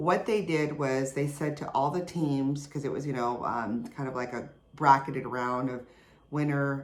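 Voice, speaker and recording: A woman with a very deep, low pitch speaks at a moderate pace, with audible room echo around her. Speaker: podcast host. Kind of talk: casual podcast monologue.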